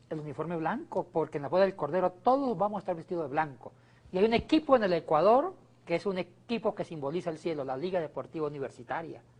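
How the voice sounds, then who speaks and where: A man talks very fast in a high voice with lively intonation. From Colombia. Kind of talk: casual religious talk show banter.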